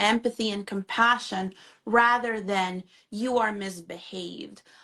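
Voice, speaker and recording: Against a quiet background, a woman with a Spanish accent talks at a fairly slow pace in a bright, sharp, fairly high voice. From Honduras. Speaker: mental health therapist. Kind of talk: live interview conversation. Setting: Instagram live video stream.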